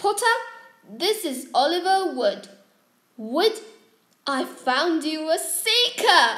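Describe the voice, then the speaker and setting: A woman's put-on character voice, extremely high in pitch, at a very slow pace with long, frequent pauses. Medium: read story. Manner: crisp, stern.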